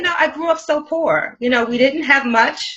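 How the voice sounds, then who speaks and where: Very wide pitch swings, a fairly slow pace and a raised, projected voice. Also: woman. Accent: American. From US Northeast, Brooklyn, New York. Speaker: life coach and author. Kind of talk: interview.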